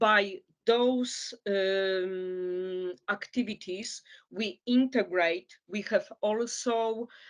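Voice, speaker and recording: Against a quiet background, a woman speaks with a Polish accent. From Poland. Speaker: migrant caseworker. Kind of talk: interview. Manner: halting, many fillers.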